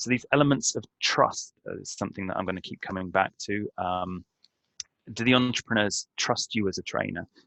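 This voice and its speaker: The pace of the speech is moderate. It comes in a British accent. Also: man, fairly low pitch for a man, ordinary pitch variation. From Britain. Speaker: trainer. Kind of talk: webinar presentation. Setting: online webinar. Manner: halting.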